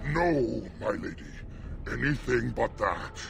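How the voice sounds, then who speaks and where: A man's put-on character voice at a fairly slow pace over clear background noise. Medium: video game.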